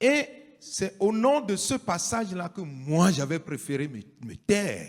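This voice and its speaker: On a very clean recording with a silent background, a man speaks at a very slow pace with very wide pitch swings. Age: 60s. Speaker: pastor. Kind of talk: public statement.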